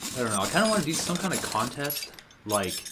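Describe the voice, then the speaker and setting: A man is heard with noticeable background noise. Audible room echo surrounds his voice. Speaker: gaming youtuber. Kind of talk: gameplay commentary. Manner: halting, many fillers; casual.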